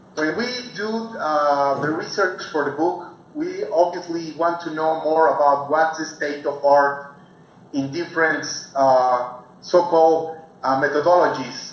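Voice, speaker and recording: Amid noticeable background noise and audible room echo, a man with a non-native accent speaks at a fairly slow pace and a fairly high pitch. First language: Spanish. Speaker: researcher on deception. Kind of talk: guest talk. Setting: video call. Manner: halting.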